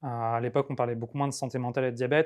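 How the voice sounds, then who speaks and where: An unremarkable speaking voice from a man, medium in pitch with fairly even intonation, over a quiet background. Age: 30s. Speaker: patient sharing testimony. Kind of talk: testimony.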